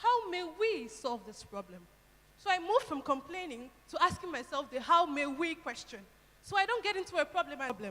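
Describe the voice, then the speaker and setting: Raising and projecting her voice, a woman talks at a fairly quick pace with a high pitch and very wide pitch swings. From Nigeria. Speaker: university student speaker. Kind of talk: speech to audience.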